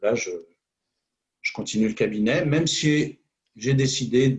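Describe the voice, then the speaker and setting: A somewhat breathy man's voice at medium pitch, with ordinary pitch variation. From Normandy, France. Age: 60s. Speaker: hypnotherapist. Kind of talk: interview. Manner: halting, many fillers.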